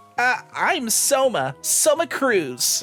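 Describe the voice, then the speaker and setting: A man performs a put-on character voice at an extremely high pitch. Music plays in the background. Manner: heroic.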